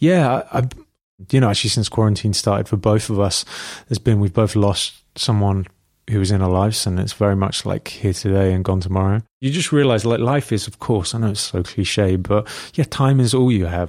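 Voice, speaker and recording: On a very clean recording with a silent background, a man with a London accent talks at a fairly quick pace, his pitch fairly low with ordinary variation. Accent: British, London. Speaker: hairdresser and homelessness campaigner. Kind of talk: casual chat.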